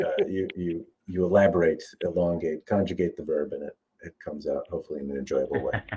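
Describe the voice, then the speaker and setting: Big swings in loudness mark this man's very fast delivery. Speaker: sword reviewer. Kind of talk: casual chat.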